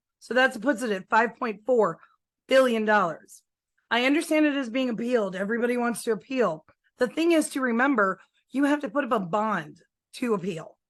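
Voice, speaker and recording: Against a quiet background, a woman speaks at a fairly quick pace in an animated tone, with lively intonation and a high pitch. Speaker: real estate transaction coordinator and forms trainer. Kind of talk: training presentation. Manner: fast.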